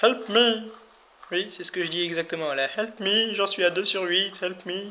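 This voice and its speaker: Using a raised, projected voice, a high-pitched man speaks at a fairly slow pace. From France (Vosges / Landes). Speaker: gaming youtuber. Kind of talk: let's play commentary. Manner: animated.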